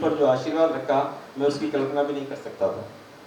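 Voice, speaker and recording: Amid noticeable background noise, a man speaks with audible room echo. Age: 70s. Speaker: community association official. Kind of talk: farewell speech, partly reading a resignation letter. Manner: formal.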